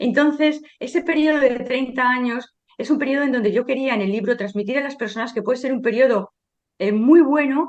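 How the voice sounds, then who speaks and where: There's a woman with a high pitch and ordinary pitch variation. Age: 60s. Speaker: sociologist and author. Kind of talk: interview. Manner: hesitant with fillers.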